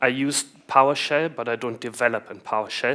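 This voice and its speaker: A man's bright, sharp voice in a German accent at a fairly slow pace. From Germany. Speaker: IT consultant, conference speaker. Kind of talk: conference talk. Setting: stage with audience.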